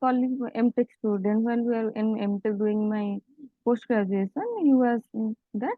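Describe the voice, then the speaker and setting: With an Odia accent, a woman speaks at a fairly high pitch and keeps her intonation fairly even. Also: fairly slow pace. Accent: Odia-accented Indian English. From village in Odisha, India. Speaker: EV startup founder, engineer. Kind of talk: interview answer. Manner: calm.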